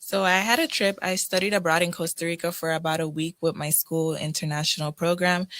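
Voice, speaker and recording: With a Crucian accent, a woman talks at a fairly quick pace with hardly any pauses, fairly even intonation and a fairly low pitch. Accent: Crucian (US Virgin Islands) English. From US Virgin Islands, St. Croix. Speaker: college student, scholarship recipient. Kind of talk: radio interview. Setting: radio studio.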